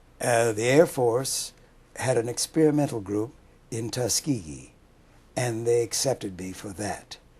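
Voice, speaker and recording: A man with an American accent speaks at a fairly slow pace and medium pitch, with ordinary pitch variation. His voice is somewhat breathy. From US West, Los Angeles. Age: 80s+. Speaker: war veteran. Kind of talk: oral history interview.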